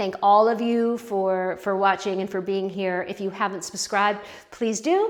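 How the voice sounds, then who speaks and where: A woman talks at a medium pitch in a flat monotone, with noticeable background noise. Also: moderate pace. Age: 60s. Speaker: pottery youtuber. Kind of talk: casual vlog talk to camera. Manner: hesitant, many fillers and restarts.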